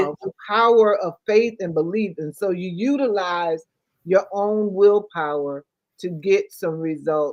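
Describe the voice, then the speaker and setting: A woman's ordinary speaking voice at a medium pitch, with ordinary pitch variation and big swings in loudness, at a fairly slow pace, dry and close with no echo. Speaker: talk show host. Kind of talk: talk show hosting.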